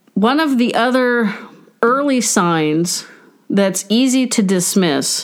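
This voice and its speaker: A woman is speaking. Her pace is fairly slow. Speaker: podcast host and family caregiver. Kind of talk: solo podcast monologue. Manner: self-described as tripping over words.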